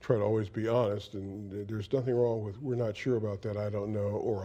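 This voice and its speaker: At a fairly quick pace, a man speaks in a dark, mellow tone that is somewhat breathy, with fairly low pitch and fairly even intonation. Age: 70s. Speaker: veteran TV news reporter. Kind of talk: interview.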